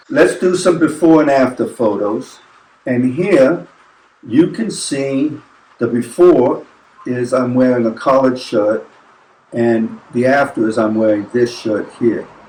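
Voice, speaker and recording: A man speaks at a medium pitch with an American accent, his pitch varying in an ordinary way. His pace is fairly slow, with noticeable background noise behind him. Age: 60s. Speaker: travel vlogger. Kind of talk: casual chat. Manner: halting.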